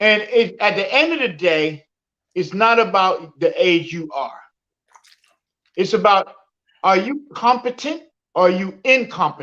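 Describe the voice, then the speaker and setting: Speaking at a fairly slow pace with long, frequent pauses, a woman uses a medium pitch and lively intonation. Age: 60s. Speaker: livestream guest. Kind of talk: live stream discussion.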